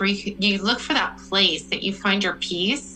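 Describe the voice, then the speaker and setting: With an American accent, a woman speaks at a medium pitch in a bright, sharp tone marked by vocal fry. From Missouri. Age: 40s. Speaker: small business owner, weight loss story guest. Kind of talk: personal story in interview.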